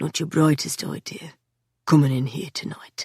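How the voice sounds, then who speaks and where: In a put-on character voice, raspy and quiet, the speaker uses a low-to-middle pitch at a moderate pace. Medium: read story. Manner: calm, unhurried, quietly menacing.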